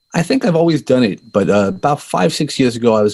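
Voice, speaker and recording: With a slight Brooklyn accent, a man talks at a moderate pace and with ordinary pitch variation in a very clean recording against a silent background. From US Northeast, Brooklyn, New York. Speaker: life coach and podcaster. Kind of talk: interview. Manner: halting, with repeated words.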